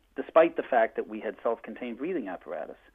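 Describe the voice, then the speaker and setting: A man with a Boston accent and lively intonation. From Boston, US. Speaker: firefighter. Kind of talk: public testimony. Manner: fast.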